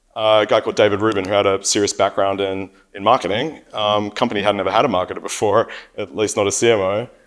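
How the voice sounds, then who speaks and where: Talking at a very fast pace with an Australian accent, a man uses a fairly low pitch and fairly even intonation. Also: very clean recording, silent background. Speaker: company CEO and panel moderator. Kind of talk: conference panel talk. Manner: repeats words, frequent fillers.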